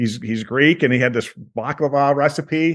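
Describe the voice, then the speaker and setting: A man talks in a plain, everyday voice, medium in pitch with ordinary pitch variation. The background is quiet. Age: 60s. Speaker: tour business owner. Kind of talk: interview.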